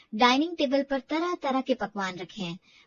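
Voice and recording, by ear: With a dry, close sound and no echo, a woman talks at a moderate pace in a high pitch with big pitch swings.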